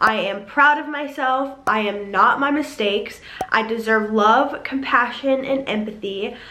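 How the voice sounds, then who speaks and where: Over noticeable background noise, a woman speaks fairly slowly at a fairly high pitch. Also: ordinary pitch variation. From South Carolina. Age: 20s. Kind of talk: motivational talk to camera.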